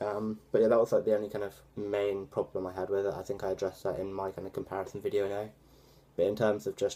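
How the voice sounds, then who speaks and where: Talking at a very fast pace, a man has a fairly low pitch and a dark, mellow tone. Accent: British. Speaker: tech vlogger. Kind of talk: casual vlog review. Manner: hesitant, many fillers.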